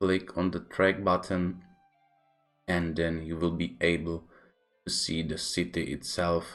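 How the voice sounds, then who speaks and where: In a Czech accent, a man with a very deep, low pitch talks at a fairly slow pace over background music. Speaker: gaming YouTuber. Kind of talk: game tutorial narration.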